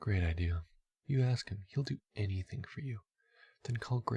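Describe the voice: The reading aloud is plain, and little sound comes from the background.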